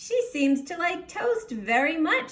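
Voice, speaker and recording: Putting on a squeaky character voice, a woman talks at a fairly slow pace with an extremely high pitch and very wide pitch swings. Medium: read story.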